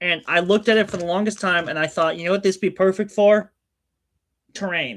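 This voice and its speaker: A man speaks loudly and at a fairly quick pace, his voice high and his tone animated. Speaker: streamer. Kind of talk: casual chat. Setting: home hobby room, livestream. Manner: loud and animated.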